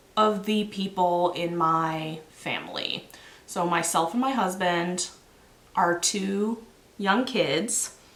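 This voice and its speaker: Very slow pace from a woman, plus audible room echo. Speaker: knitting podcaster. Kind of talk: casual chat.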